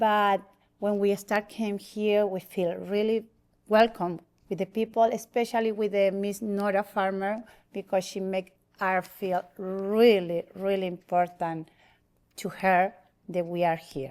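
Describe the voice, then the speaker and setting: On a very clean recording with a silent background, a woman with a Spanish accent speaks fairly slowly at a medium pitch in a monotone, flat intonation. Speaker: church member. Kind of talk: testimony. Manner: halting.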